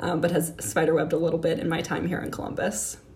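A woman talks at a very fast pace in a fairly low pitch. Noticeable background noise and audible room echo fill the recording. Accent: American. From Miami, Florida. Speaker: city climate advisor. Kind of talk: interview.

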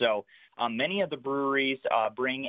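A man talks at a moderate pace and a medium pitch, with ordinary pitch variation. He has an unremarkable speaking voice. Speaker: craft beer event organizer. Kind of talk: radio interview. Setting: phone call.

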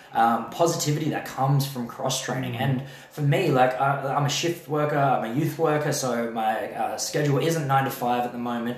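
A man speaks at a fairly high pitch with an Australian accent, keeping a moderate pace and hardly any pauses. His intonation is fairly even, and there is noticeable background noise. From Adelaide, South Australia. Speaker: jiu-jitsu athlete and event organizer. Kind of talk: casual chat.

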